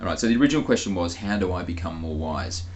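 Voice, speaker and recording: The voice is somewhat breathy and has audible room echo. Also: man. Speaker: spiritual channeler. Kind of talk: casual monologue; channeled spiritual talk.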